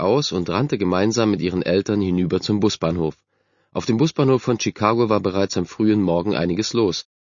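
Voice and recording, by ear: In a quiet setting, a natural-voiced reader goes through a text aloud, the pitch shifting in an ordinary way.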